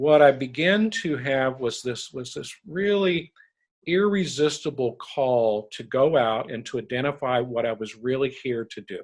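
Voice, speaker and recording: A man's unremarkable speaking voice, medium-pitched, with an American accent and lively intonation. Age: 60s. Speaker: leadership recruiter. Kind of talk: podcast interview.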